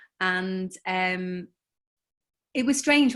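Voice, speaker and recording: Recorded very cleanly against a silent background, a woman speaks with a Liverpool accent and ordinary pitch variation. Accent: Scouse (Liverpool). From Liverpool, England. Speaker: novelist. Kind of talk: panel interview.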